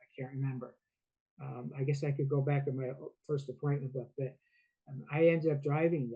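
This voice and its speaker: At a moderate pace, a man with a fairly high pitch, a dark, mellow tone and a somewhat breathy voice speaks in a monotone, flat intonation. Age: 70s. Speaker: founder of a veterans talk show. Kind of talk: interview, personal story. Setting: video podcast interview. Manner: halting, with hesitations.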